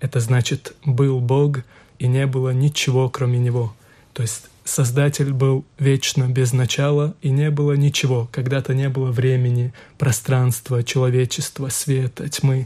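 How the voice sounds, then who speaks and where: Speaking fairly slowly, a man has a dark, mellow tone that is somewhat breathy, with monotone, flat intonation. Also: medium pitch for a man. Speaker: imam. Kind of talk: radio panel discussion.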